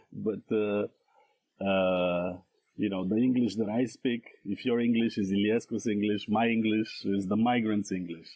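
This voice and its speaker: With a Romanian accent, a man talks at a moderate pace in a fairly low voice, his intonation fairly even and his loudness very even. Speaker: scholar and translator. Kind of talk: podcast interview. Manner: halting, many fillers.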